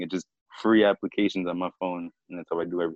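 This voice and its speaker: Talking at a very fast pace, a man with an American accent uses ordinary pitch variation. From US, Annapolis, Maryland. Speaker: graphic designer and aspiring rapper. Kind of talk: casual interview. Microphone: lagging connection.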